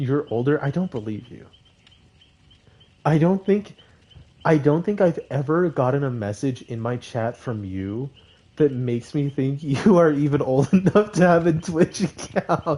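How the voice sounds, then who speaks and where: A man speaks fairly slowly in a fairly high, somewhat breathy voice with a dark, mellow tone. His loudness rises and falls in big swings. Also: lively intonation. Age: 20s. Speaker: gaming streamer. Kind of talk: casual live stream chat. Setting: live stream. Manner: animated.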